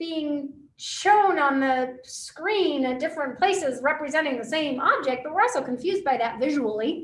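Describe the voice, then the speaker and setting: A woman's high voice at a moderate pace, with very wide pitch swings and audible room echo. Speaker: physics teacher. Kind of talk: lecture.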